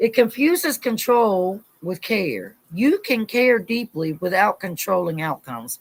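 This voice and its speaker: In a very clean recording with a silent background, a woman with an American accent speaks loudly and in an animated tone, her pitch swinging very widely. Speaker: Bible study leader. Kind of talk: livestream Bible study. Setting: live stream.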